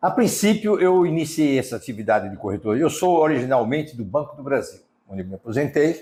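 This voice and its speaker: A man talks at a fairly quick pace with a fairly high pitch and very wide pitch swings. His tone is dark and mellow, with vocal fry. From Brazil, Sergipe (Aracaju). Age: 60s. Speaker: real estate businessman. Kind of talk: interview. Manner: hesitant, with fillers.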